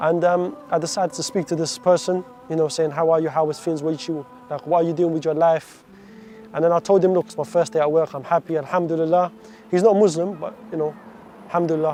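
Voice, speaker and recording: A man with a London accent talks very fast at a high pitch, over noticeable background noise. He takes long, frequent pauses. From London, England (moved from Iraq at seven). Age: 20s. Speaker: stabbing survivor sharing his story. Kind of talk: testimony.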